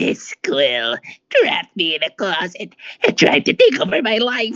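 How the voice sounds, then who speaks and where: A man performs a put-on character voice, raspy and high in pitch. He delivers it at a moderate pace. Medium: read story. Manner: hesitant, fumbling.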